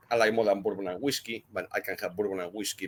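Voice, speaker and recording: A man with a Spanish accent talks with lively intonation in a dry, close sound with no echo. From Spain. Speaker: cigar blender. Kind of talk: podcast interview.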